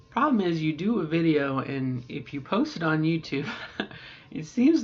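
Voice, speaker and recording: Lively intonation from a woman with a very deep, low pitch, at a moderate pace, against noticeable background noise. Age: middle-aged. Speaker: transgender woman doing voice training. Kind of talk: casual talk to camera during voice practice.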